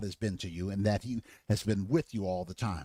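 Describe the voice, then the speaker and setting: In a very clean recording with a silent background and a dry, close sound with no echo, a man speaks at a fairly quick pace. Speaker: pastor. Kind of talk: bible teaching lecture. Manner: hesitant with many fillers.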